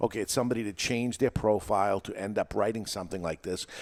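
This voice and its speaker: Someone with a New England accent talks at a very fast pace with ordinary pitch variation, in a dry, close sound with no echo. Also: man. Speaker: podcast host and teacher. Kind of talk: casual chat. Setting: studio with live audience.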